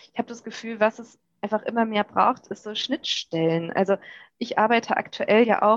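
The clip has an ordinary speaking voice. Its pitch varies in an ordinary way, with a dry, close sound and no echo. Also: woman. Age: 30s. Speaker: journalist and podcast host. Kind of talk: podcast interview.

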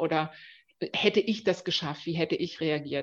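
This woman has an unremarkable speaking voice, pitched fairly low. Her intonation stays fairly even. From Dresden, eastern Germany. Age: 40s. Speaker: marketing executive. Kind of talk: interview.

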